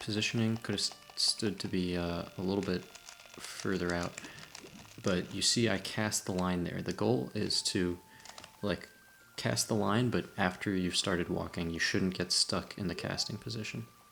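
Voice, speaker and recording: Quiet speech at a moderate pace comes through with noticeable background noise. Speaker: gaming tutorial host. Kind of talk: game tutorial commentary. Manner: quiet, low-energy.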